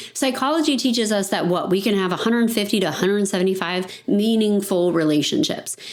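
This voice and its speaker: Talking at a very fast pace with hardly any pauses, a woman at a medium pitch uses lively intonation while audible room echo and noticeable background noise surround her. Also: very even loudness. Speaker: financial advisory firm owner. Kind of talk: podcast monologue.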